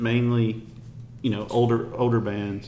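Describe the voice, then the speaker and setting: A man with a Memphis accent amid noticeable background noise. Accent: Southern US (Memphis). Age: 40s. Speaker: podcast host. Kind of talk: casual interview; show wrap-up with promotion.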